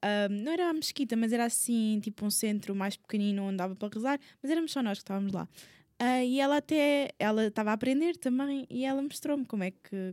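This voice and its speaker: A woman speaks very fast at a fairly high pitch with lively intonation. The recording is very clean and dry, close and echo-free, with a silent background. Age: 20s. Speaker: podcast guest. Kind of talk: casual chat.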